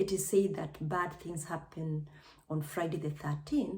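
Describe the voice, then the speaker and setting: A somewhat breathy woman's voice in a Kenyan accent at a fairly slow pace. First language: Kikuyu. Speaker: vlogger, nurse. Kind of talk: personal testimony vlog.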